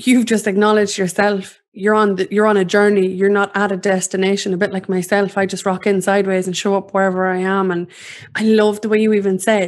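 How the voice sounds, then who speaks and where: Her delivery is monotone and flat, coming at a fairly quick pace from a woman. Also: medium pitch for a woman. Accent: Irish. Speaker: podcast host.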